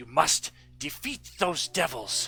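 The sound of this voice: A man's put-on character voice with hissing and faint music in the background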